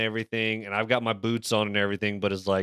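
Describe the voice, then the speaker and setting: A man's very fast, medium-pitched speech, bright and sharp in tone, in a very clean recording with a silent background and a dry, close sound with no echo. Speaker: podcast co-host. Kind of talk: casual chat.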